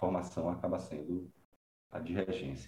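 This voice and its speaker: Very deep and low, a man's voice has a dark, mellow tone and vocal fry, with audible room echo. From Brazil, interior of Bahia. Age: young. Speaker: composer. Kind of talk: interview conversation.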